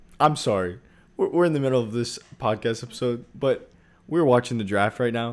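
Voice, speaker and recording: This is a man with a medium-pitched voice and lively intonation. The recording is very clean, with a silent background. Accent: American. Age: 20s. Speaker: podcast co-host. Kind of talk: casual chat.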